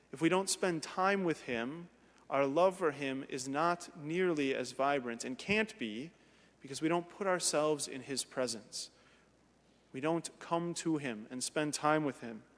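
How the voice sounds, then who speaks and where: Ordinary pitch variation from a man at a fairly slow pace. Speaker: priest. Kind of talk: sermon. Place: church.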